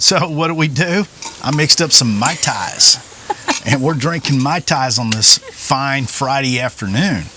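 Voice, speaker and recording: With a Southern US accent, a man talks at a fairly slow pace and fairly high pitch with ordinary pitch variation over noticeable background noise. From Oklahoma. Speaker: vlogger, retired police officer. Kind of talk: casual chat. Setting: outdoors.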